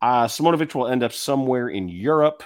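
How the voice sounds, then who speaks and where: The recording is very clean, with a silent background. A man with a plain, everyday voice speaks at a moderate pace with ordinary pitch variation. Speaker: podcast host, basketball commentator. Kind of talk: casual sports podcast banter, radio-style patter. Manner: conversational, bantering, sarcastic, self-deprecating.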